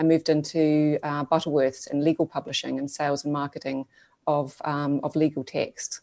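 In a New Zealand accent, the voice has a dark, mellow tone and flat, monotone intonation at a moderate pace. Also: woman. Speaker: digital agency co-founder. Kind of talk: interview conversation.

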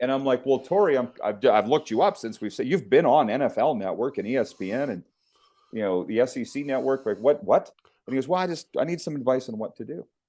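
Talking at a very fast pace in a Canadian prairie accent, a man uses lively intonation and a dark, mellow tone. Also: medium pitch for a man. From Saskatchewan, Canada. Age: 50s. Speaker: sports broadcaster. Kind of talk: interview.

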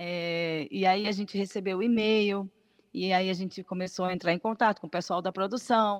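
A woman's normal speaking voice at a medium pitch, with fairly even intonation and a dry, close sound with no echo. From Paraíba, Brazil (from age 14). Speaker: singer. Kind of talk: radio interview. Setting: video call.

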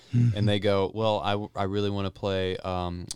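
A man with a fairly low pitch and fairly even intonation, an unremarkable speaking voice. The recording is very clean, with a silent background. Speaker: podcast host. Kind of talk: casual chat. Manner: joking, playful.

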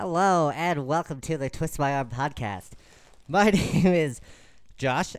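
Putting on a squeaky character voice, a man speaks at a fairly slow pace with a fairly high pitch, lively intonation and long, frequent pauses, on a very clean recording with a silent background. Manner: playful podcast intro.

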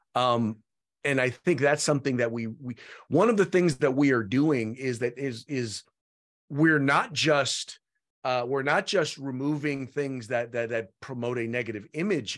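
A man at a medium pitch talks at a moderate pace over a quiet background. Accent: American. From San Francisco Bay Area, California. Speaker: political spokesman and commentator. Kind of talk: interview. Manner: halting, many fillers and repetitions.

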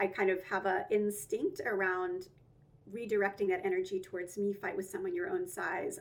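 Over noticeable background noise, a woman talks at a moderate pace in an American accent. Her pitch swings very widely. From US South, Georgia (Atlanta suburbs). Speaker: lawyer and nonprofit founder. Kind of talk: interview.

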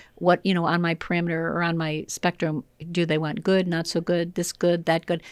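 A woman with an American accent, fairly low in pitch, with monotone, flat intonation at a fairly quick pace, in a very clean recording with a silent background and a dry, close sound with no echo. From US Midwest, Illinois. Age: 60s. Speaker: professional trainer and consultant. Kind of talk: casual interview chat. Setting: studio.

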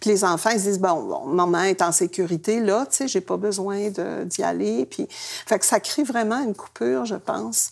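In a very clean recording with a silent background, a woman with a fairly high pitch speaks at a fairly slow pace, her pitch swinging very widely. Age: 70s. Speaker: retired activist. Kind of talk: casual chat.

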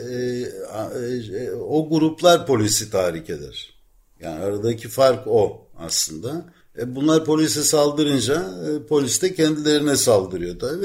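On a very clean recording with a silent background, a man speaks fairly slowly at a fairly high pitch with very wide pitch swings. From Ankara, Turkey. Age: 60s. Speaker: veteran journalist living in Athens. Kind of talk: casual interview about life story.

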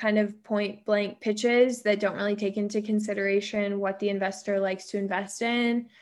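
Monotone, flat intonation in an American accent, on a very clean recording with a silent background. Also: woman. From US West Coast, San Diego. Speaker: venture capital investor. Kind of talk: interview.

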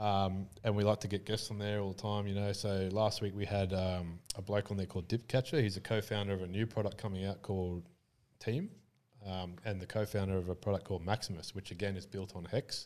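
In an Australian accent, a man speaks at a fairly quick pace with a fairly low pitch and monotone, flat intonation. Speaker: crypto entrepreneur and former Muay Thai fighter. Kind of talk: casual interview chat. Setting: studio.

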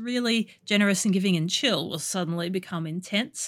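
In an Australian accent, a woman talks at a fairly quick pace. Her pitch is medium, and the recording is very clean with a silent background. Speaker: podcast host and escort. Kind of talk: casual interview chat.

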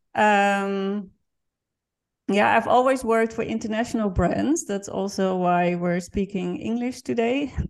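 A woman speaks at a fairly slow pace in a medium pitch, with ordinary pitch variation and a quiet background. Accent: Dutch. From Netherlands. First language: Dutch. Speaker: NGO founder and marketing professional. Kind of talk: interview.

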